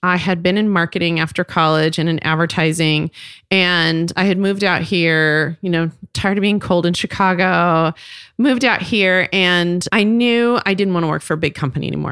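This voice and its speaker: In an ordinary speaking voice, a woman with a fairly low pitch talks at a fairly quick pace on a very clean recording with a silent background. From Texas, Fort Worth. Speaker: cosmetics company co-founder. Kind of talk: interview storytelling.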